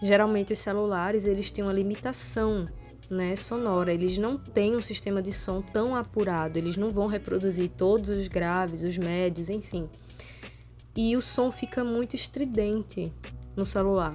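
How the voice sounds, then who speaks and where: With fairly even intonation, a woman talks at a moderate pace and medium pitch. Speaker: vlogger. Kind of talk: casual vlog monologue. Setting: at home. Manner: soft-spoken.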